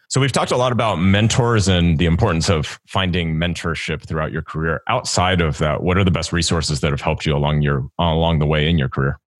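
A man with a very deep, low voice races along at a very fast pace, with ordinary pitch variation and hardly any pauses. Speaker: podcast host and career coach. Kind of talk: interview.

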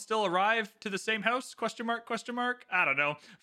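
A man's raised, projected voice, bright and sharp in tone, at a fairly quick pace, on a very clean recording with a silent background. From Canada. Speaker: podcast host. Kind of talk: casual chat.

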